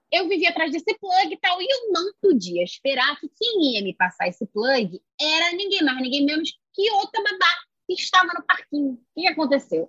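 Moderate-paced, lively intonation in a strong Carioca accent. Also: woman, extremely high pitch for a woman. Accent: strong Carioca Brazilian Portuguese. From Rio de Janeiro, Brazil. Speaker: poet and singer. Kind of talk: casual chat.

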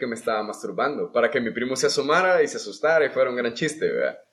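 A man speaks with lively intonation. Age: 20s. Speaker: podcast guest. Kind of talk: casual chat.

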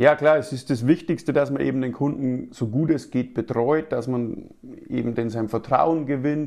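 In a Bavarian accent, a man speaks at a fairly slow pace and medium pitch. His tone is dark and mellow, with ordinary pitch variation. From Lower Bavaria (Passau), Germany. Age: 30s. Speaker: sales agent, insurance broker. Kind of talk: interview.

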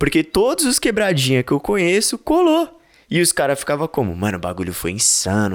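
A man's animated tone swings very widely in pitch, with vocal fry. The recording is very clean, with a silent background. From São Paulo, East Zone. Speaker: podcast host and event correspondent. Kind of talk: casual vlog-style chat and event coverage.

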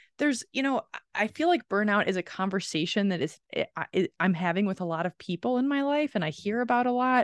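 Against a quiet background, the voice races at a very fast pace with very wide pitch swings, in a dry, close sound with no echo. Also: woman, fairly high pitch for a woman. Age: 40s. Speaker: podcast co-host. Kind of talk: casual chat.

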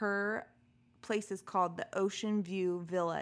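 An ordinary speaking voice from a woman at medium pitch, with fairly even intonation. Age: 30s. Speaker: podcast co-host. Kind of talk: casual chat.

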